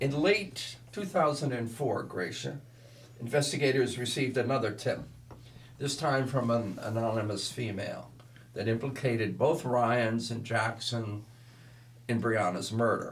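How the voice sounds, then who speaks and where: A man talks at a fairly slow pace and a medium pitch, with ordinary pitch variation. He has a normal speaking voice. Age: 60s. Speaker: podcast co-host, martial arts instructor. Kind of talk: casual chat, reading case notes.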